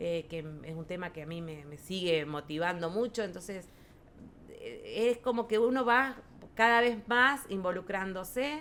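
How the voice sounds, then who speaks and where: A woman's medium-pitched voice at a fairly slow pace, with lively intonation and big swings in loudness. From rural Buenos Aires province, Argentina. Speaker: farmers' federation president, agrarian lawyer. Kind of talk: podcast interview answer.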